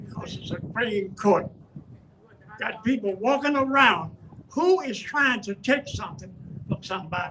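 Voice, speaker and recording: Over noticeable background noise, a man speaks at a moderate pace with high pitch, very wide pitch swings and big swings in loudness. Long, frequent pauses break up his speech. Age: 80s+. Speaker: community elder speaking at a rally. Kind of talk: rally speech.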